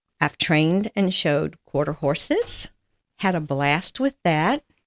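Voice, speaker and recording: A woman's fairly low voice with a Southern US accent, dry and close with no echo. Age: 80s+. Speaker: amputee patient. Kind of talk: interview.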